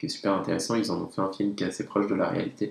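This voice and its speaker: A man talks at a fairly low pitch. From French Alps (Tignes, Savoie). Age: 30s. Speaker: professional skier and association president. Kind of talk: casual interview. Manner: halting, many fillers.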